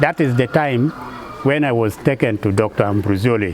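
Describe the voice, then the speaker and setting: Ordinary pitch variation and a moderate pace from a man, over noticeable background noise. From northern Uganda. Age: 60s. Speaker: local government official. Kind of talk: testimony.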